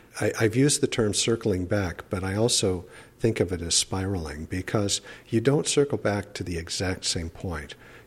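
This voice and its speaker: At a moderate pace, a man with a fairly low, somewhat breathy voice speaks with ordinary pitch variation. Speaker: professor living with ALS. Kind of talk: interview.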